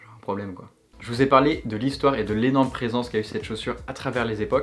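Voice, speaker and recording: A man talks with a medium pitch and ordinary pitch variation in a plain, everyday voice. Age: 20s. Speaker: YouTuber. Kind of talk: casual video monologue.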